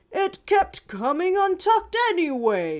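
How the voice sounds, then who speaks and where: A woman's put-on character voice, extremely high-pitched, at a fairly slow pace. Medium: read story. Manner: cheerful, reassuring.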